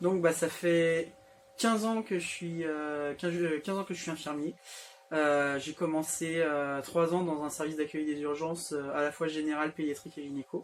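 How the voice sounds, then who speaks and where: A man speaks at a moderate pace. His pitch is fairly high and his intonation fairly even. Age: 30s. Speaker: nurse anesthetist. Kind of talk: interview. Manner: hesitant, many fillers.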